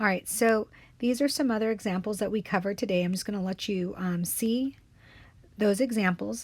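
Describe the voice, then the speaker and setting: A woman, somewhat breathy, speaks at a medium pitch and a fairly quick pace. Her pitch variation is ordinary, and the recording is very clean with a silent background. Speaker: math teacher. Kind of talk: tutorial. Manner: fast.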